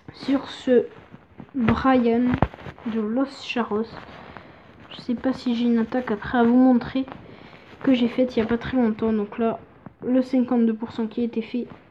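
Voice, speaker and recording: Pausing long and often, a woman with a high pitch speaks in a monotone, flat intonation over noticeable background noise. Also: fairly slow pace. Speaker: gaming YouTuber. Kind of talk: gameplay commentary.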